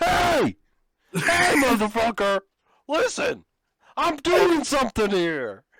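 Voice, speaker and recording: A put-on character voice at a fairly high pitch moves at a very slow pace. Long, frequent pauses break up the speech. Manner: shouting, aggressive.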